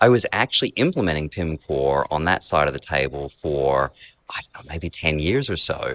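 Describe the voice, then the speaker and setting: In an Australian accent, a man with a very deep, low pitch and vocal fry speaks at a moderate pace with lively intonation and big swings in loudness, in a dry, close sound with no echo. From Australia (rural Queensland cane farms). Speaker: software company executive. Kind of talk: interview. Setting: basement of a beer hall restaurant.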